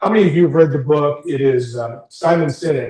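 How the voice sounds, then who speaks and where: Somewhat breathy, a man has a dark, mellow tone and a fairly high pitch. He keeps a moderate pace. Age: 60s. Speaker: career coach. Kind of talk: workshop talk to a small group. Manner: informal.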